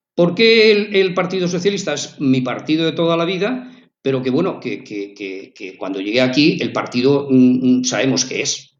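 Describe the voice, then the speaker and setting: A fairly high-pitched man with very wide pitch swings at a moderate pace, hardly any pauses, and audible room echo. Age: 60s. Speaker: local resident, community activist. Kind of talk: radio interview. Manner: halting, many fillers and repetitions.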